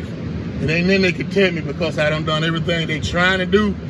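Loud noise fills the background as a man speaks. The sound is dry, with no echo. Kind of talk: interview answer. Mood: grateful, earnest. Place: street. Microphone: camera far.

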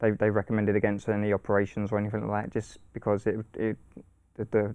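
A man speaks in a flat, monotone way against a quiet background. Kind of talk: interview answer. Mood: calm, reflective, slightly hesitant. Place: studio. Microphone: lapel.

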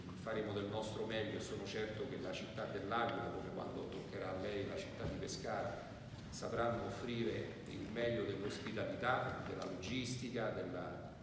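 This man talks at a moderate pace. The recording has noticeable background noise and strong room echo. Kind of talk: press conference statement. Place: hall.

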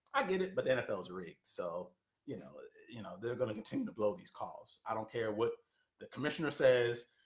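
Audible room echo surrounds a man speaking at a moderate pace, with a quiet background. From Philadelphia. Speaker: political commentator. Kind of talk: live-stream monologue. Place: home room. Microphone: webcam.

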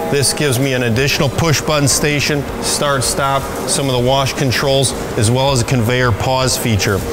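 A man at a fairly quick pace, with music in the background. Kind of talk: promotional facility tour. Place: shop.

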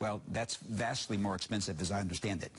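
A man talks at a fairly quick pace with fairly even intonation. His pitch is fairly low.

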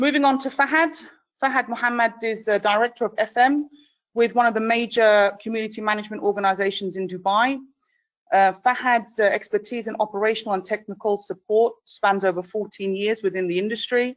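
A woman speaks in a British accent at a fairly high pitch. Her pace is fairly quick, with ordinary pitch variation. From UK. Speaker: webinar moderator. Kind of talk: panel discussion moderation. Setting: online webinar.

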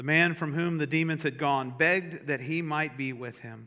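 Against a quiet background, a man's speech moves at a moderate pace, its pitch varying in an ordinary way. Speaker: pastor. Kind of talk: scripture reading, then prayer and sermon. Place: church. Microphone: podium.

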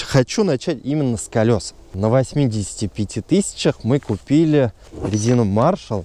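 The sound is dry, with no echo. The speaker is a man. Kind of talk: car review vlog. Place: open country.

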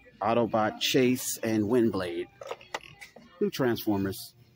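Faint music plays in the background as a man speaks at a very slow pace with ordinary pitch variation, the sound dry with no echo. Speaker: toy channel host. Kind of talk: angry rant, profane store-aisle vlog rant. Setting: in a store, filming vlog. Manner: loud, furious, cursing, exasperated; repetitive, stammering, catchphrase-heavy. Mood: annoyed, ranting. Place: shop. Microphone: phone near.

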